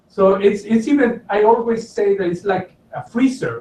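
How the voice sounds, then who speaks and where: This man has a high-pitched voice with ordinary pitch variation. He talks at a moderate pace. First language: not English. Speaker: college lecturer. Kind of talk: online Q&A session. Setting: video call. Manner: hesitant, with fillers.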